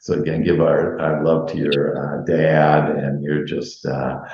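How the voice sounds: Speaking slowly with little pitch movement, a man with an extremely low pitch and a slightly mellow tone is heard in strong room echo.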